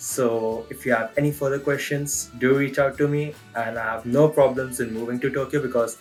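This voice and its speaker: With music in the background, a man with a non-native accent and a medium pitch talks at a moderate pace with hardly any pauses. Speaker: freelance photographer and videographer. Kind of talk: self-introduction job application video. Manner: upbeat, casual.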